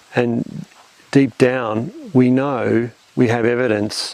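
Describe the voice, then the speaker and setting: Monotone, flat delivery from a man with an Australian accent, against noticeable background noise. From Australia, Melbourne. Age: 60s. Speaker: conservation scientist. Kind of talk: interview. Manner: halting, many repeated words.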